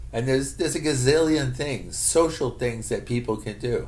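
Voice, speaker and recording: There is audible room echo around this speaker. A man talks with an American accent. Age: 60s. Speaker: vlogger. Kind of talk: casual monologue. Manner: halting.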